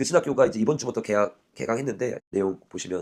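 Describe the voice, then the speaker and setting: A man at a very fast pace. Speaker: pastor. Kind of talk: live Q&A after sermon.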